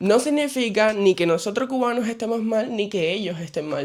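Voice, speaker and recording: Fairly quick speech with lively intonation over noticeable background noise. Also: man. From Cuba. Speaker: vlogger. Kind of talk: casual vlog monologue. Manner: soft-spoken.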